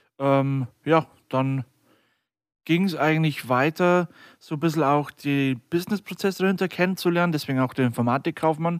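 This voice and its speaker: A man with an ordinary speaking voice talks at a moderate pace with ordinary pitch variation on a very clean recording with a silent background and a dry, close sound with no echo. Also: fairly high pitch for a man. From Lower Bavaria, Germany (near Deggendorf). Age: 20s. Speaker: podcast co-host and IT company co-founder.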